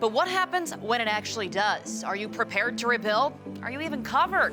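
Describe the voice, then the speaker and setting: Music plays in the background as a woman with a fairly high pitch and lively intonation talks very fast. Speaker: TV meteorologist and journalist. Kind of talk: TV news report.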